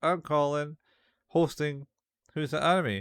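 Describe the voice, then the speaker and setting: A man with a Scottish accent speaks at a moderate pace, his pitch fairly high. The recording is very clean with a silent background, dry and close with no echo. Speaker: podcast host. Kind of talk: casual chat.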